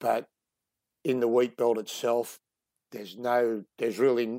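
Recorded dry and close with no echo against a very clean, silent background, a man with a strong Australian accent and a dark, mellow tone speaks at a fairly slow pace. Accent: broad Australian. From Sydney, Australia. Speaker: wildlife conservationist. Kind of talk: casual interview.

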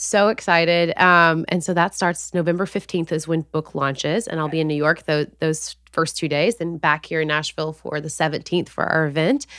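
A woman speaks at a fairly low pitch. She keeps a moderate pace with hardly any pauses. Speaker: author, influencer and former nurse. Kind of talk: casual interview. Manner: excited, enthusiastic.

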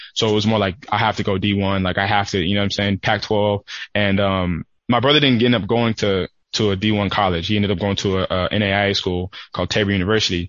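A man with an American accent talks in a plain, everyday voice at a fairly quick pace. His pitch is fairly low, his intonation fairly even and his loudness very even. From California. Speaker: professional football player. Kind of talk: casual interview.

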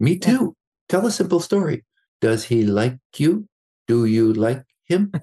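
At a fairly slow pace, a man with a fairly high pitch and a dark, mellow tone speaks with very wide pitch swings and big swings in loudness. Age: 60s. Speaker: psychologist and executive coach, author. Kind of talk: interview.

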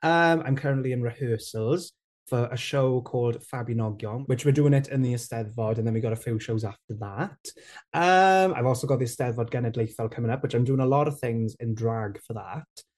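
A man with a South Wales Valleys accent, somewhat breathy, at a fairly quick pace with ordinary pitch variation. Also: medium pitch for a man, quiet background. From south Wales valleys (Rhondda). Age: 20s. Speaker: TikTok creator and presenter. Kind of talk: interview.

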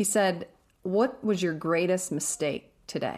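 In a very clean recording with a silent background, a woman speaks in a normal speaking voice, fairly low in pitch with ordinary pitch variation. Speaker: podcast host.

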